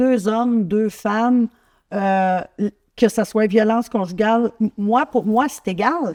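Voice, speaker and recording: A woman speaks at a very slow pace in a fairly high pitch with a dark, mellow tone. The sound is dry and close with no echo, over a quiet background. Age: 60s. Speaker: talk show host. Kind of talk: interview.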